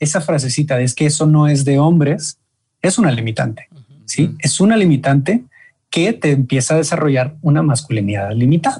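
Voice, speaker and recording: The voice is dark and mellow, somewhat breathy, very even in loudness, and moves at a moderate pace with lively intonation. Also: man. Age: 20s. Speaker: men's group leader. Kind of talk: interview.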